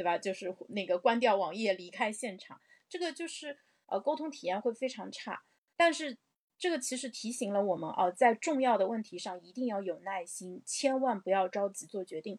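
The tone is animated, with very wide pitch swings and big swings in loudness. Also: woman, fairly high pitch for a woman, moderate pace. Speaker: livestream host. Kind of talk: livestream discussion. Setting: livestream.

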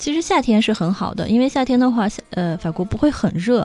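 Talking at a fairly quick pace, a woman uses a normal speaking voice with lively intonation. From China. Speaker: online retail buyer living in France. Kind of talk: casual interview.

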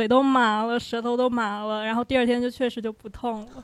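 A woman with a high voice speaks at a fairly quick pace. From Fujian, China. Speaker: audience member. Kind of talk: testimony. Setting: stage with audience.

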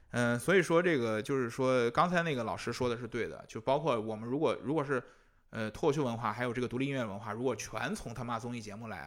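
In a very clean recording with a silent background, a man talks very fast at a medium pitch with lively intonation. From northern China (Hebei, Shijiazhuang). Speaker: music magazine editor. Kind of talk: casual chat. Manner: hesitant, many fillers.

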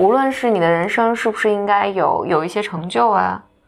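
A woman's plain, everyday voice, medium in pitch, with ordinary pitch variation at a fairly slow pace. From mainland China. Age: 30s. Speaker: podcast co-host. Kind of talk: casual chat.

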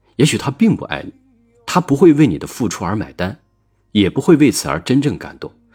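Showing vocal fry, a man with a medium-pitched voice speaks at a fairly quick pace with very wide pitch swings. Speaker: relationship podcast host. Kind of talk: reflective monologue.

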